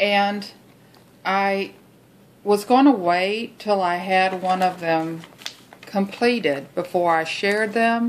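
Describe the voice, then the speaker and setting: Speaking at a very slow pace with long, frequent pauses, a woman has a Texas accent. Her pitch is medium, with ordinary variation. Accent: Texas drawl. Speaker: junk journal maker. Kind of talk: craft tutorial talk to camera.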